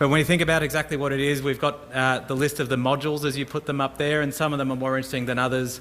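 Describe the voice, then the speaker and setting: Talking very fast with hardly any pauses, a man with an Australian accent keeps a fairly high pitch and a monotone, flat intonation. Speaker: emergency services technology manager. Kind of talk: conference presentation.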